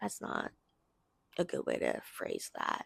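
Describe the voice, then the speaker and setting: A woman is whispering. The sound is dry and close, with no echo. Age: 20s. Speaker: video blogger. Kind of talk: casual video diary monologue. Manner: slow; slurring, mixing up words.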